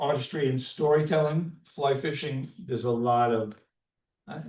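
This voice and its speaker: A man with a New York accent speaks in a somewhat breathy voice. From New York, Long Island. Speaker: landscape photographer and fly fisherman presenting to a club. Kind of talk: club presentation talk. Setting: community center meeting room, also on Zoom. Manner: fast; halting, many fillers.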